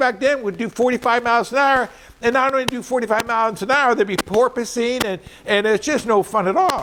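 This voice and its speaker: A man with an extremely high pitch and ordinary pitch variation speaks at a moderate pace against noticeable background noise. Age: 70s. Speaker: powersports salesman. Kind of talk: informal product advice talk. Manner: casual, repetitive with restarts.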